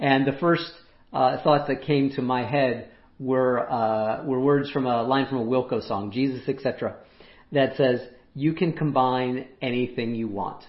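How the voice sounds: A raspy man's voice at medium pitch, fairly slow with few pauses and fairly even intonation, with audible room echo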